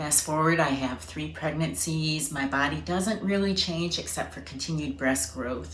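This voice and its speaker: Amid audible room echo, a woman with a very deep, low pitch speaks at a moderate pace with lively intonation. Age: 50s. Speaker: patient sharing her story. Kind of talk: testimony.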